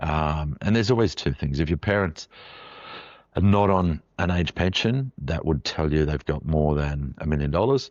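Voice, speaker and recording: A man's very deep, low voice with an Australian accent, ordinary pitch variation and a fairly quick pace. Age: 60s. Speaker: financial adviser, podcast host. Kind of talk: podcast explainer monologue. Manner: casual, with frequent fillers.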